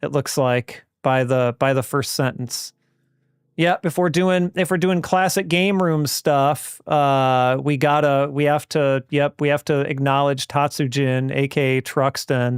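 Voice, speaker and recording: Recorded very cleanly against a silent background, the dry, close sound with no echo carries a man speaking at a fairly slow pace in a fairly high pitch, with ordinary pitch variation and very even loudness. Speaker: gaming streamer. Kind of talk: live stream chat and gameplay commentary. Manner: casual, halting with fillers.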